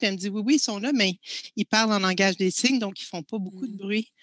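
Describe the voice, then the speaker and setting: A woman speaks at a medium pitch with ordinary pitch variation and a bright, sharp tone. The background is quiet, and the sound is dry with no echo. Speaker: filmmaker and professor. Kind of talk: panel discussion. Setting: video call. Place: home room. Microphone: headset.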